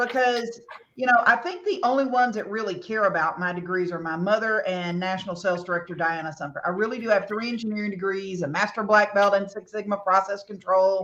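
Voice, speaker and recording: Someone talks at a very fast pace in a Southern US accent, with ordinary pitch variation. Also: woman, medium pitch for a woman, hardly any pauses. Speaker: cosmetics sales leader and former engineer. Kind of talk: motivational talk.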